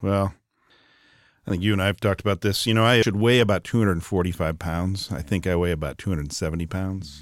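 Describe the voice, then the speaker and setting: Talking very fast in an American accent, a man with a very deep, low voice shows ordinary pitch variation on a very clean recording with a silent background. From Wisconsin, US Upper Midwest. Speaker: business executive. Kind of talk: interview conversation. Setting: in person, Atlanta.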